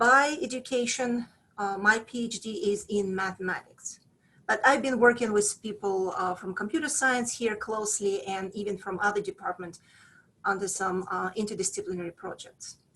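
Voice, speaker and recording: With ordinary pitch movement, a woman of medium pitch talks at a moderate speed. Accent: Russian. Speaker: professor. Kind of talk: presentation to prospective students. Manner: hesitant, many fillers.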